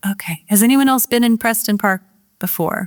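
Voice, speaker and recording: A woman with an unremarkable speaking voice talks at a moderate pace with ordinary pitch variation. The very clean recording has a silent background and a dry, close sound with no echo. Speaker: author. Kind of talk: book talk to a live audience.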